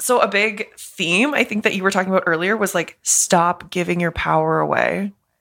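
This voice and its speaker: A woman with a Canadian accent uses an ordinary speaking voice at a medium pitch, moving at a moderate pace with ordinary pitch variation. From Canada. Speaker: art therapist, podcast co-host. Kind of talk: casual chat.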